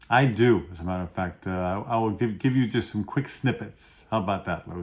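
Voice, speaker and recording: With hardly any pauses, a man speaks at a fairly quick pace. His voice is fairly low, with ordinary pitch variation. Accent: Brooklyn. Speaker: pharmacist, dental pharmacology educator. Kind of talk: interview, educational explanation.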